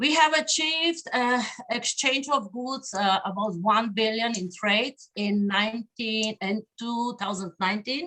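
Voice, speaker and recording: A woman talks fairly slowly with a Slavic accent. Her pitch is fairly high and her intonation lively. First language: Slovenian. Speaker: diplomat. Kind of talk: conference speech. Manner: halting, many fillers.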